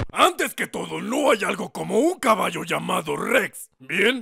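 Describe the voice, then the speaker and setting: In a cartoonish character voice, a man speaks at a moderate pace with a high pitch. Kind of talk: comic cowboy role-play. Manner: gruff, dismissive.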